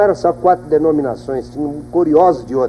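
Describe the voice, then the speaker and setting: A man speaks over noticeable background noise. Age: 60s. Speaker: pastor giving testimony. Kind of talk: testimony. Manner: animated.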